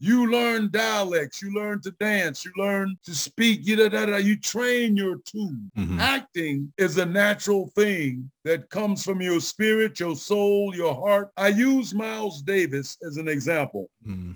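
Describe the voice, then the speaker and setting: Using a high pitch, a man with an American accent talks at a fairly slow pace. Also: ordinary pitch variation, hardly any pauses. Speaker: actor. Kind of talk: casual interview chat.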